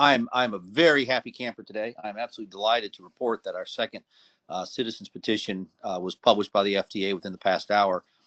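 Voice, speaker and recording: Here a man speaks very fast at a medium pitch. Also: ordinary pitch variation, dry, close sound with no echo, quiet background. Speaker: doctor hosting a science podcast. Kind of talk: podcast talk on scientific studies. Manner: hesitant, many fillers and repetitions.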